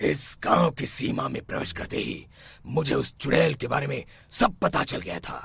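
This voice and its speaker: A raspy, cartoonish character voice with very wide pitch swings. The pace is moderate. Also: man, medium pitch for a man. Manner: authoritative.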